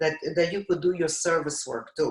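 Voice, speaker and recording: The speaker has a non-native accent and lively intonation. The voice is somewhat breathy. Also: woman. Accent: foreign. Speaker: TV talk show host. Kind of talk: casual chat.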